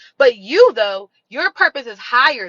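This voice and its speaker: A woman talks at a moderate pace in a high voice. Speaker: spiritual reader and healing streamer. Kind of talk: livestream motivational talk. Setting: live stream. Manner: animated.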